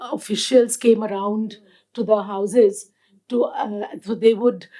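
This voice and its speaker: Speaking with a Punjabi accent, a woman uses a fairly high pitch and fairly even intonation. She goes at a fairly slow pace on a very clean recording with a silent background. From India, Delhi. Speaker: activist and first responder. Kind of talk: panel talk, personal testimony. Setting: live event with audience. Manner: halting, many fillers.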